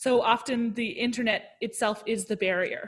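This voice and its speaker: This is an ordinary speaking voice from a woman, fairly high in pitch with fairly even intonation. The recording is very clean, and the background is silent. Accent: Canadian. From Canada (Ottawa and Toronto). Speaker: opera singer and music educator. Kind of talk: casual interview chat.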